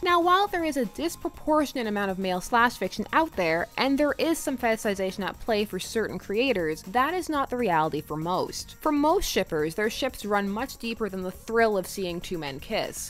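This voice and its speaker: A woman's fairly high voice with very wide pitch swings and hardly any pauses, over faint music in the background. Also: moderate pace. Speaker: fandom video essayist. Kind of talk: video essay narration. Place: home room.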